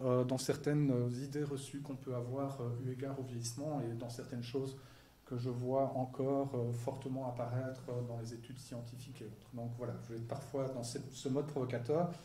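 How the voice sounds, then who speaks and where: Amid noticeable background noise and audible room echo, a man talks fairly quickly in a monotone, flat intonation. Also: medium pitch for a man. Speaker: psychology professor. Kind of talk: lecture. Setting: stage with audience. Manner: fast.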